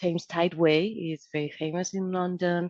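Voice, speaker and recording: A woman with a Spanish accent and a fairly low pitch talks at a moderate pace, the sound dry and close with no echo. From Spain, Madrid. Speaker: civil engineer, project manager. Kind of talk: interview.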